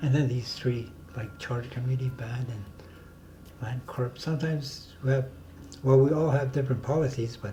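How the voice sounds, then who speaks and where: A man speaks at a moderate pace with a medium pitch and a dark, mellow tone. His voice is somewhat breathy, his intonation fairly even, and the room echo is audible. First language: Dene (North Slavey). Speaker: community elder and self-government negotiator. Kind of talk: interview conversation. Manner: halting.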